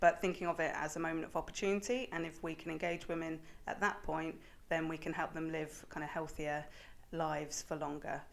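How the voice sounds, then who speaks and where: A woman's unremarkable speaking voice, fairly low in pitch, with fairly even intonation and a fairly quick pace. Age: young. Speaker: charity innovation manager. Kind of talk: interview.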